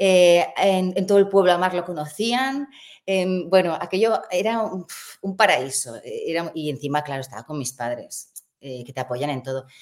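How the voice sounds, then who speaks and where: The speaker talks at a moderate pace, with very wide pitch swings and big swings in loudness. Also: woman, fairly low pitch for a woman. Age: 50s. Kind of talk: interview.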